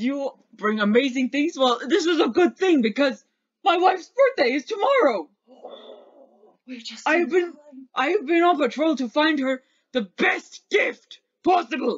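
A high-pitched put-on character voice speaks with long, frequent pauses. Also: fairly slow pace. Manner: menacing, then flattered and friendly.

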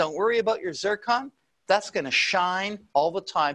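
A man talks at a moderate pace in a raised, projected voice. His tone is bright and sharp. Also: quiet background. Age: 60s. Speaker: presenter. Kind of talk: sales pitch. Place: studio. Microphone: lapel.

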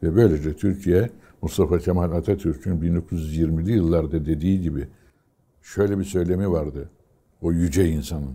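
Fairly slow delivery with fairly even intonation. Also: man, very deep, low pitch for a man. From Turkey, Istanbul and Aegean region; Turkey. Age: 80s+. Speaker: retired fighter pilot. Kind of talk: oral history interview. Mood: calm, reflective. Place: home room. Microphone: lapel.

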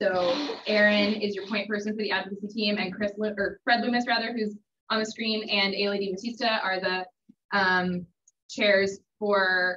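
A woman speaks with monotone, flat intonation. Light background noise can be heard. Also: moderate pace. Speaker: presenter. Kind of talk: presentation introduction. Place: meeting room. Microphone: video call.

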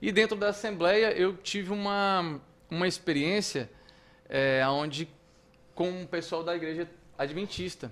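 Speaking at a fairly slow pace with long, frequent pauses, a man uses a high voice. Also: ordinary pitch variation. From Brazil. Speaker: radio announcer and artist; radio announcer. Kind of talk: casual storytelling chat. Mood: calm, reflective. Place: studio. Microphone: studio mic.

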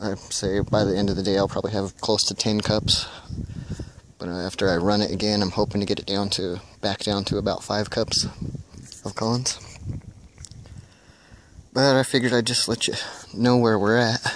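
Fairly low-pitched male speech at a moderate pace, with fairly even intonation, long, frequent pauses, noticeable background noise and a dry sound with no echo. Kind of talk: casual vlog chat. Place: open country. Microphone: phone near.

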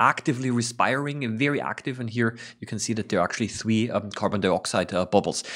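Against a quiet background, a man speaks very fast with ordinary pitch variation. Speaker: science educator. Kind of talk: tutorial commentary. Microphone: studio mic.

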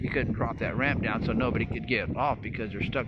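A man's voice over loud background noise. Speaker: travel vlogger. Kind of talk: casual vlog chat. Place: waterside. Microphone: phone near.

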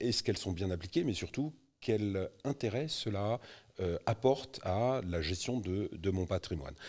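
A man's fairly low voice, fairly slow in pace, with lively intonation. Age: 50s. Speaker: real estate investment specialist; guest. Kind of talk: interview. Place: studio. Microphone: studio mic.

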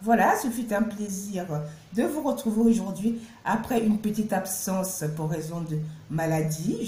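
With lively intonation, a woman speaks at a fairly slow pace. Audible room echo is present. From Cameroon. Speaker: YouTuber. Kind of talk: vlog narration. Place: home room. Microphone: phone near.

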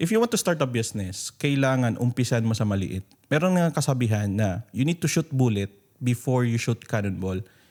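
A man with an ordinary speaking voice talks at a fairly quick pace in a medium pitch, with lively intonation and very even loudness. The recording is very clean, dry and close, with a silent background and no echo. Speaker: podcast host and business coach. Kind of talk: interview and business advice talk.

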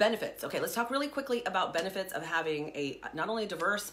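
The voice belongs to a woman. Her intonation is lively. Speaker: fitness trainer. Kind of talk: casual Q&A talk, explanatory. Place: home room. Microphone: phone near.

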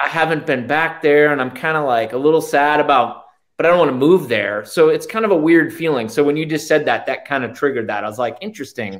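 Against a quiet background, a man rattles along at a very fast pace with a fairly high pitch and ordinary pitch variation. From Massachusetts. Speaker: real estate agent, YouTube host; YouTube host. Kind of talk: casual interview. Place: office. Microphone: webcam.

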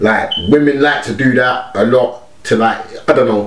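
A man talks with audible room echo. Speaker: music reaction vlogger. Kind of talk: casual reaction commentary. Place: home room.

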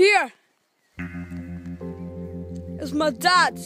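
Over clear background music, a woman speaks in a dry sound with no echo. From Scotland. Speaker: family member filming a fishing dad. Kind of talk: casual commentary while filming. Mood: playful, joking. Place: waterside. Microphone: phone near.

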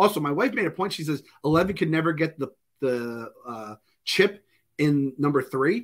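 A man with a fairly high voice speaks at a moderate pace, his intonation lively against a quiet background. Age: 40s. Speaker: pop culture podcast co-host. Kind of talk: casual chat. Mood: joking, opinionated. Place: home room.

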